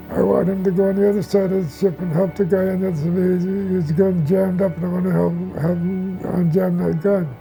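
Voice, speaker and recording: With music in the background, a man speaks at a moderate pace in a high pitch with fairly even intonation. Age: 90s. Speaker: war veteran. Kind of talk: testimony. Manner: halting.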